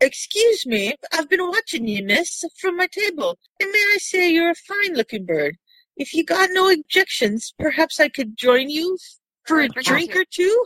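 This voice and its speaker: In a put-on character voice, a woman squeaks at an extremely high pitch with very wide pitch swings and a moderate pace. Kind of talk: smooth, forward, old-fashioned pickup manner.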